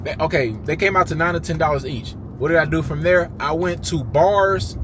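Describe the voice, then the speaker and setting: A man speaks at a moderate pace as noticeable background noise carries on behind him. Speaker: YouTuber, entrepreneur. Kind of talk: casual talking-head monologue.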